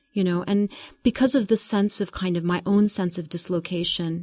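On a very clean recording with a silent background, a woman with a fairly low pitch and a dark, mellow tone speaks somewhat breathily at a moderate pace, her intonation fairly even. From Kuwait. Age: 40s. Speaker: author and literature professor. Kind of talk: interview. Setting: studio.

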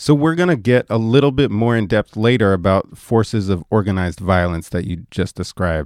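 Speaking in a normal speaking voice with lively intonation at a moderate pace, the voice is captured in a very clean recording with a silent background and a dry, close sound with no echo. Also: man. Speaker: radio host. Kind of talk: radio interview. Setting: radio studio.

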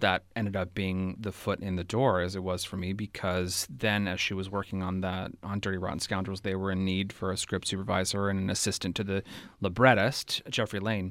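On a very clean recording with a silent background, a man with a West Coast American accent speaks at a fairly quick pace with hardly any pauses, his very deep, low voice monotone and flat. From California, Bay Area. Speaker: theater director. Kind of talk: interview.

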